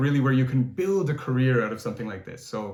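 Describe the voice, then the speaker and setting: A man at medium pitch with ordinary pitch variation and audible room echo. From Canada, Toronto. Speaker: singer. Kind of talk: interview. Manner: halting, many fillers and repeats.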